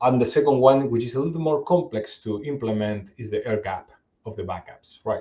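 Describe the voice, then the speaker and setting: This man's dark, mellow, somewhat breathy voice sits at a medium pitch, with ordinary pitch variation and big swings in loudness. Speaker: cybersecurity executive presenter. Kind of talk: webinar presentation. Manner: fast; halting, many repetitions.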